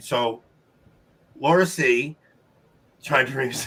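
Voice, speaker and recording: A man with a New York accent speaks at a fairly slow pace. His pitch is fairly high, with ordinary pitch variation. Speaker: trivia show host. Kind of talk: live-stream casual chat. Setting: live stream with guests. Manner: animated.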